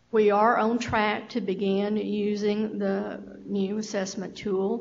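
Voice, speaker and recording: Speaking very slowly, a woman keeps a monotone, flat intonation at medium pitch. The room echo is audible. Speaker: state health program official. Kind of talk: meeting presentation.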